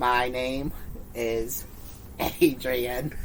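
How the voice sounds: A put-on character voice sits at a low-to-middle pitch. Clear background noise runs behind it.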